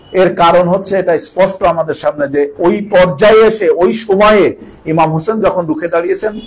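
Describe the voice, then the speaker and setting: Noticeable background noise sits behind a man with a high pitch and ordinary pitch variation. He talks at a moderate pace with very even loudness. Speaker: cleric providing Bengali interpretation. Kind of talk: consecutive religious interpretation of a sermon.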